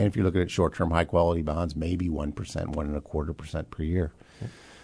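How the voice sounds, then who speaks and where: A man's very deep, low voice in a dark, mellow tone, fairly quick in pace and fairly even in intonation, over a quiet background. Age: 60s. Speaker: financial planner and radio host. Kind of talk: radio finance talk show. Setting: radio studio.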